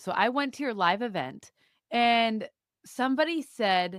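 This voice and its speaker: With a slight Wisconsin accent, a woman talks at a fairly high pitch with very wide pitch swings, the sound dry and close with no echo on a very clean recording with a silent background. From US Midwest, Wisconsin (Madison suburb). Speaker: podcast guest, mother. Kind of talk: casual chat. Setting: studio.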